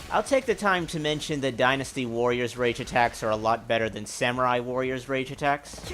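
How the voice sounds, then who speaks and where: Behind this man there is music. His voice is medium in pitch with ordinary pitch variation. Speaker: gaming youtuber. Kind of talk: gameplay commentary. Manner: halting.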